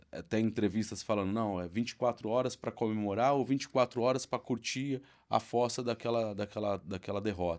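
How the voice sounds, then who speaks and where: A man's voice at a medium pitch, moderate pace and ordinary pitch variation. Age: 40s. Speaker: football fan. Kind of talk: podcast conversation. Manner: halting, many repetitions and fillers.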